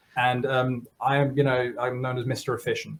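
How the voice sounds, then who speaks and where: A man talks at a moderate pace. His voice is somewhat breathy. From Germany. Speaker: software developer; guest. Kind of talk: casual interview. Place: home room.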